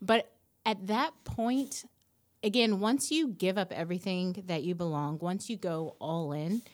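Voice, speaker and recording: Heard in a very clean recording with a silent background, a woman with a normal speaking voice and medium pitch talks at a fairly slow pace with lively intonation. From US South, Nashville, Tennessee. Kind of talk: interview.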